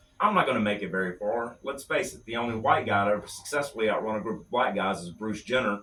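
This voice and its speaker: Over noticeable background noise, a man talks at a very fast pace with hardly any pauses. His pitch is medium and his loudness swings a lot. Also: ordinary pitch variation. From Louisiana (West Monroe). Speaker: stand-up comedian. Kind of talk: stand-up bit on radio. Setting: radio studio.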